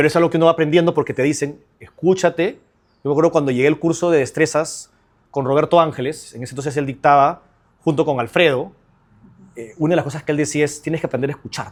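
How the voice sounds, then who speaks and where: Energetic in tone, a man rattles along at a very fast pace. His voice sits fairly high. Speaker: trial lawyer. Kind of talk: interview conversation.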